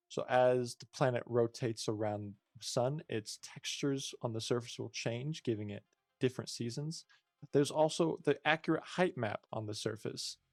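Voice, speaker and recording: Music plays in the background while a man speaks at a medium pitch with ordinary pitch variation and a moderate pace. The sound is dry and close with no echo, and the loudness swings widely. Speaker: indie game developer. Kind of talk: tutorial. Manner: halting.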